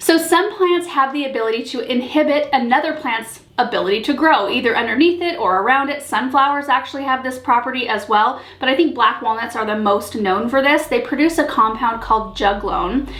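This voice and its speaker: A woman's high-pitched voice at a fairly quick pace, with lively intonation and noticeable background noise. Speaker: gardening channel host. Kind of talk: casual talk to camera. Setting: camera mic with slight echo.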